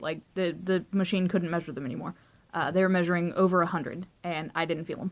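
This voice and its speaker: A woman's shaky voice at medium pitch, fairly quick in pace, with ordinary pitch variation. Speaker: vlogger. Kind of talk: personal storytelling vlog. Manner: rambling, filler-heavy.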